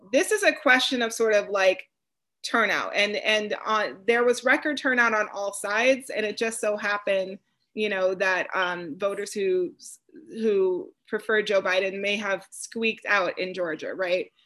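A woman with an American accent, a bright, sharp tone, ordinary pitch variation and a moderate pace. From Wisconsin. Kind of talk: panel discussion. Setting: video call.

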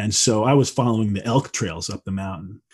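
The man's voice sits at a medium pitch, and the background is quiet. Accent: Midwestern American. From US Midwest. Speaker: wilderness school founder and nature-based purpose guide. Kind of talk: casual interview conversation.

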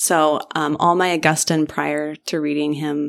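A woman speaks at a very deep, low pitch. The recording is very clean, with a silent background. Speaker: professor and author. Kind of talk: interview conversation. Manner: witty, snarky.

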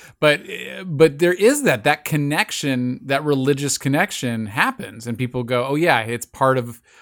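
On a very clean recording with a silent background, a man talks at a fairly slow pace in an unremarkable speaking voice, fairly high in pitch with ordinary variation. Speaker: podcast co-host. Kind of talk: casual chat.

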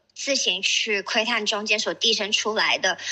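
Noticeable background noise surrounds a woman speaking in a fairly high voice. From Shenzhen, China. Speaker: artist. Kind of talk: panel talk at exhibition opening. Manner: hesitant, many fillers.

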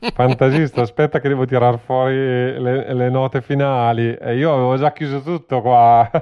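A man speaks at a moderate pace in a medium pitch with hardly any pauses. His intonation is monotone and flat. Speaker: podcast host. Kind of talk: casual chat. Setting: video call. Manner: halting.

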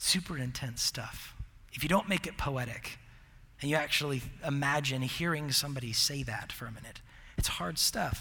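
Audible room echo surrounds a man's fairly high, bright, sharp voice. He keeps a moderate pace with ordinary pitch variation. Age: 30s. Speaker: college ministry pastor. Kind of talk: sermon. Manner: halting.

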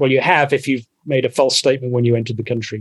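A man with a medium-pitched voice talks very fast. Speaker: podcast guest. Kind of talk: casual banter, comedic chat.

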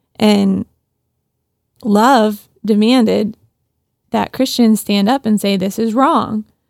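A woman speaks very slowly at a fairly high pitch, with fairly even intonation. Her long, frequent pauses come through in a dry, close recording with no echo. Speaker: podcast co-host. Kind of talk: casual chat. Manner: clear diction.

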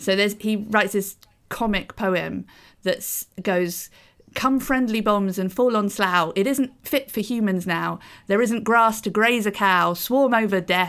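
Heard on a very clean recording with a silent background, the speaker uses a British accent, ordinary pitch variation and a fairly slow pace. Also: woman, medium pitch for a woman. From Britain. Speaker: podcast co-host. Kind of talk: casual discussion podcast.

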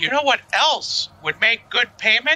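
A man in a put-on character voice at a fairly slow pace. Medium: actual play. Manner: bubbly, rambling, upbeat.

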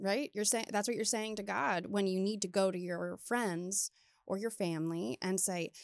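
On a very clean recording with a silent background and a dry, close sound with no echo, a woman with an American accent uses an ordinary speaking voice at a medium pitch, ordinary pitch variation, and a moderate pace. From Maryland, US. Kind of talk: casual chat.

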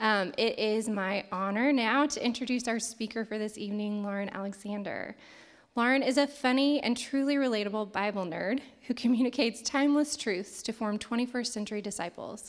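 An ordinary speaking voice with an American accent, fairly quick in pace, with ordinary pitch variation. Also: woman, fairly high pitch for a woman. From southern Indiana. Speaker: event emcee. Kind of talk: speaker introduction. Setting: church stage with audience.

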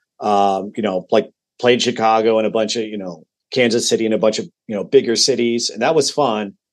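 An unremarkable speaking voice, this man talks at a medium pitch and a fairly quick pace in a General American accent, his intonation fairly even. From Colorado, Denver area. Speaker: musician and podcast guest. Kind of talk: casual chat.

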